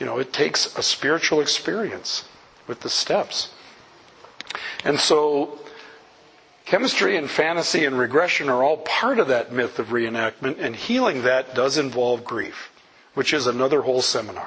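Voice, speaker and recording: A man with a fairly high voice speaks with ordinary pitch variation and long, frequent pauses. Noticeable background noise can be heard. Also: moderate pace. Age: 60s. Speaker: recovery speaker. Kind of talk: talk to audience. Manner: animated.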